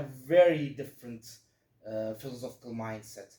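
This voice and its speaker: In a dark, mellow tone, a man speaks with a Turkish accent. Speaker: physics student giving a talk. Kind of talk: lecture. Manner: halting, many fillers.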